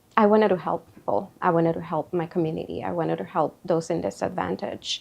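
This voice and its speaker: A woman with a Spanish accent talks at a fairly quick pace. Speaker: therapist. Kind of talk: interview testimony. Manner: halting, with fillers.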